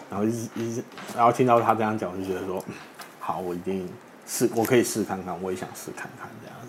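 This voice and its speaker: A man's very fast, fairly low-pitched speech with fairly even intonation and big swings in loudness, over noticeable background noise. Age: 30s. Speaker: funeral body collector and author. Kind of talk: interview chat.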